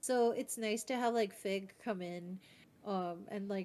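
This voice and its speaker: A woman's plain, everyday voice at a medium pitch and moderate pace, with ordinary pitch variation. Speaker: vtuber. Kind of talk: casual chat.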